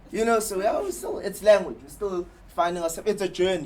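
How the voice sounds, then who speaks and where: A man talks at a very fast pace against noticeable background noise. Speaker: advertising copywriter. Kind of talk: talk to an audience. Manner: halting, repeats words.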